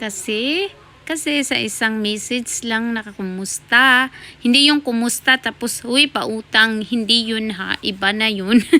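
In a bright, sharp tone, a woman with a fairly high voice speaks fairly slowly with ordinary pitch variation. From Philippines. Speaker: vlogger. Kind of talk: casual vlog talk.

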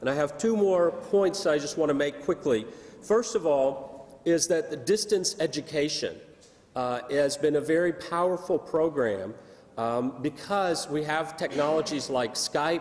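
Speaking at a fairly slow pace, a man keeps his intonation lively. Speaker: conference presenter. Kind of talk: lecture. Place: hall. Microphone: podium.

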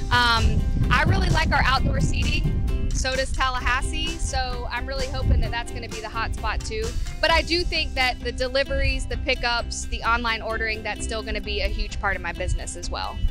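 A woman at a fairly quick pace, dry sound with no echo, clear music in the background. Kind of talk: interview answer. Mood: optimistic, hopeful. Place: street. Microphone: handheld.

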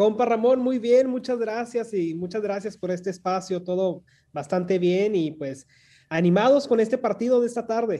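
Over a quiet background, a man with a high, dark and mellow voice speaks at a moderate pace with ordinary pitch variation. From Mexicali, Baja California, Mexico; Baja California, Mexico. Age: young. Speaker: consulate official; guest. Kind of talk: radio interview. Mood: friendly, upbeat. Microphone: video call.

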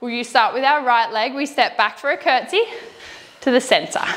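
A woman speaks at a moderate pace. Her pitch is high. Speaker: fitness instructor. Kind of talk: workout instruction. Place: gym. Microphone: lapel.

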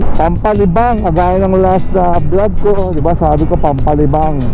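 Over clear music in the background, the speech runs at a moderate pace with a dry sound and no echo. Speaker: motovlogger. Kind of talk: casual vlog chat. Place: motorbike.

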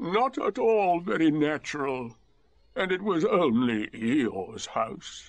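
A put-on character voice is used here by a man. The delivery is very slow. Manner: melancholy.

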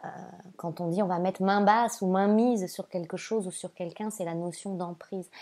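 On a very clean recording with a silent background, a woman with a dark, mellow tone speaks at medium pitch and moderate pace with fairly even intonation. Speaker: spiritual guide and oracle card reader. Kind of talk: oracle card reading monologue to viewers. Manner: hesitant, frequent fillers and repeated words; warm and gentle.

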